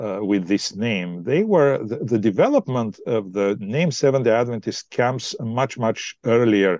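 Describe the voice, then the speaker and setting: Against a quiet background, a man with a Bulgarian accent and medium pitch talks at a fairly slow pace. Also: dry, close sound with no echo. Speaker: pastor. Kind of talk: podcast interview.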